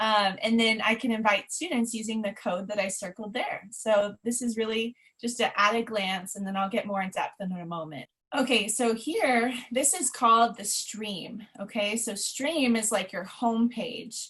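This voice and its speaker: A woman talks at a moderate pace in a normal speaking voice, fairly high in pitch, with ordinary pitch variation and hardly any pauses. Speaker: former middle school science teacher, webinar presenter. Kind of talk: webinar presentation. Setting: online webinar.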